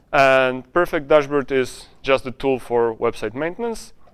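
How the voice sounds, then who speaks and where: A man with a Polish accent at a fairly slow pace over a quiet background. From Poland. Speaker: conference speaker and software founder. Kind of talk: conference talk. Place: hall. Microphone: lapel.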